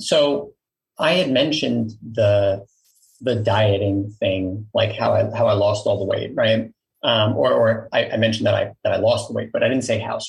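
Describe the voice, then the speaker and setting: A man in a New York accent speaks at a moderate pace. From Queens, New York. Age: 40s. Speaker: company founder and CEO. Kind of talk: casual interview.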